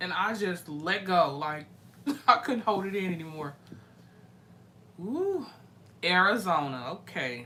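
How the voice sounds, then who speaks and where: A woman's animated, fairly slow speech with lively intonation, long and frequent pauses, and audible room echo. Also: medium pitch for a woman. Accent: American. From US Midwest, St. Louis. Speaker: live-stream music reaction host. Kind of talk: casual live-stream chat with viewers.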